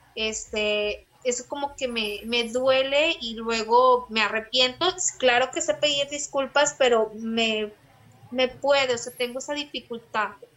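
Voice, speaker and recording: Ordinary pitch variation runs through this fairly slow delivery. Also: woman, high pitch for a woman. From Saltillo, Coahuila, northern Mexico. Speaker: primary school teacher. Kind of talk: casual interview.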